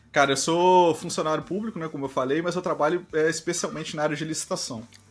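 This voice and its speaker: Very fast delivery from a man with a fairly high pitch and fairly even intonation. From Brazil, Volta Redonda, Rio de Janeiro state. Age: 30s. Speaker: RPG player, civil servant. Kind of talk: interview.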